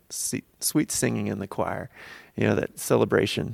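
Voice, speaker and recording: A man's vocal fry at a moderate pace, in a dry, close sound with no echo. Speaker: radio co-host. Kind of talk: radio DJ patter, upbeat song intro and sign-off before break. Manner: smooth, warm, cheerful announcer delivery.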